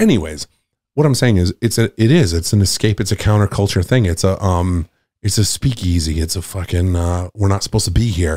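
A man with an American accent, very deep, low pitch and ordinary pitch variation, a dark, mellow and somewhat breathy tone, fairly quick pace and very even loudness, on a very clean, dry, close recording with no echo and a silent background. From Nantucket, Massachusetts. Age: 40s. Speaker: comedian. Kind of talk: casual chat.

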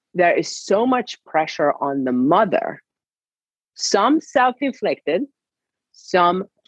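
Speaking very slowly with a Hungarian accent, a woman uses lively intonation. The sound is dry and close, with no echo. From Hungary. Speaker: sports science professor. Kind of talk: interview.

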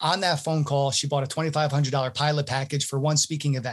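A man talks at a very fast pace in a fairly high, somewhat breathy voice. The recording is very clean, with a silent background. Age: 30s. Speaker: entrepreneur in email sales outreach. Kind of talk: interview.

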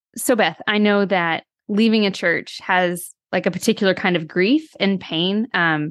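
A woman talks in a normal speaking voice at a moderate pace and medium pitch. Her intonation is lively over a quiet background. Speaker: podcast co-host. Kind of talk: interview.

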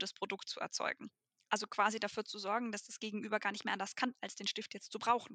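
A woman speaks in a fairly high voice with a bright, sharp tone. Her intonation is monotone and flat, and the sound is dry and close with no echo. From Germany. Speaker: B2B tech saleswoman. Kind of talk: casual interview.

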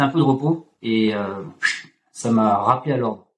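Here is an unremarkable speaking voice from a man. He keeps a moderate pace with ordinary pitch variation. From France, Auvergne. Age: 30s. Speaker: fitness coach. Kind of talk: casual chat. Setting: video call.

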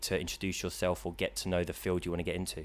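A man with a London accent talks at a very fast pace with a very deep, low pitch and vocal fry. The recording is very clean, the background silent. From London (Queensbury). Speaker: student and drone operator. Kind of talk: casual chat. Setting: studio.

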